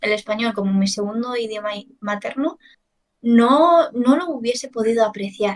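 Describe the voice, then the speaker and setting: A woman in a Chinese accent, fairly high in pitch, with ordinary pitch variation. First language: Chinese (speaking Spanish). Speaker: language teacher. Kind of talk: casual chat.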